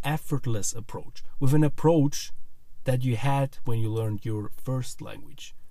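A somewhat breathy man with a Swiss German accent, a dark, mellow tone, medium pitch, fairly even intonation and a moderate pace. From Switzerland. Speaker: podcast host, language learning coach. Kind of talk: podcast intro monologue. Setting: studio microphone.

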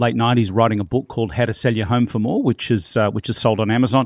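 With a quiet background and a dry, close sound with no echo, a man in an Australian accent speaks at a medium pitch with fairly even intonation. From Australia, small town then Melbourne. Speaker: real estate trainer and marketing coach. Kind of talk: interview.

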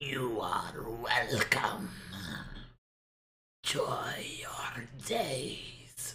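A raspy, put-on character voice from a man at a medium pitch, very slow, with long, frequent pauses. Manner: creepy, smooth, polite.

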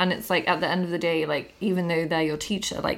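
Against noticeable background noise, a woman with a southern English accent speaks in a monotone, flat way at a fairly low pitch. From Bath, England. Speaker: podcast host. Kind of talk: casual chat.

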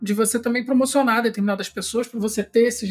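A man speaks with fairly even intonation. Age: 40s. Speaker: podcast host. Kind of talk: casual chat.

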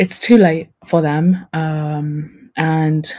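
Very slow delivery with fairly even intonation. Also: woman. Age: 20s. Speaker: podcast guest sharing life as eldest daughter. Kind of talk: casual chat. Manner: halting, many fillers.

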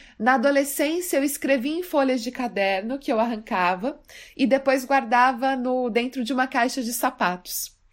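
Very cleanly recorded against a silent background, a woman speaks at a high pitch and a moderate pace with ordinary pitch variation. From Brazil, Mato Grosso do Sul. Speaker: poet. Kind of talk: personal storytelling.

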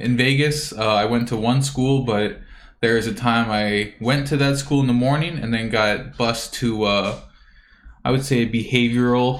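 Audible room echo surrounds a man's medium-pitched voice. He speaks at a fairly slow pace with fairly even intonation. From Hawaii. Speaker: podcast co-host. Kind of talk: casual chat.

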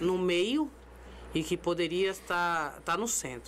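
Female speech captured on a very clean recording against a silent background. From São Paulo, Zona Sul. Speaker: amateur football tournament director. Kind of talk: casual chat. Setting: studio.

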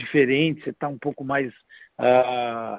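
A man's plain, everyday voice, medium in pitch, with fairly even intonation and a dry, close sound with no echo. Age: 50s. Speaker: paralympic wheelchair tennis player. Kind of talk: casual chat.

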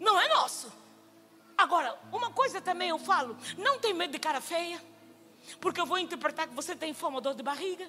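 Over music in the background, a woman with an extremely high pitch speaks in a raised, projected voice at a fairly quick pace, with lively intonation. Her loudness swings widely, and she leaves long, frequent pauses. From Angola. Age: 50s. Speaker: missionary preacher. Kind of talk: sermon. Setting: church stage with congregation.

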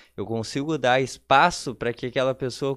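A man with a normal speaking voice talks at a fairly quick pace with ordinary pitch variation over a quiet background. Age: 30s. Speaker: tech entrepreneur. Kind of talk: casual interview.

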